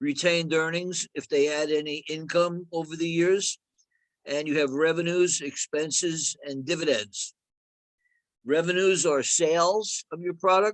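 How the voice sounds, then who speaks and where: Here a man with a New Jersey accent speaks at a fairly slow pace, his pitch fairly high and his intonation fairly even. The sound is dry and close, with no echo. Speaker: accounting instructor. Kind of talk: lecture.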